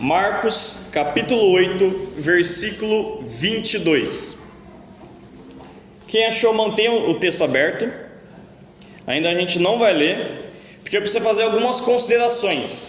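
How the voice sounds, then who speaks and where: A man's high voice at very even loudness, with ordinary pitch variation, long and frequent pauses, audible room echo and noticeable background noise. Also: fairly slow pace. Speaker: pastor. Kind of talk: sermon. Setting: church.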